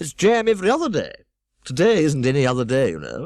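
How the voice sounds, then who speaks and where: Putting on a squeaky character voice, a man races along at a very fast pace with a fairly high pitch. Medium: read story. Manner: vague, fussy, prattling.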